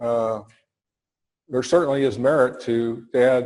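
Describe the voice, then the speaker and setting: A man speaks at a medium pitch, keeping his intonation fairly even. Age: 60s. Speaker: farm analyst and presenter. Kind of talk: audience Q&A at a seminar. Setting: seminar hall with audience. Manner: hesitant, with many fillers.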